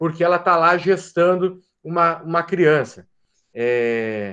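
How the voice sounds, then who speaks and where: Very wide pitch swings mark this man's high voice. He speaks at a very slow pace over a quiet background. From Brazil, Paraná. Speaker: law professor. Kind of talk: lecture. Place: home room. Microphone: webcam.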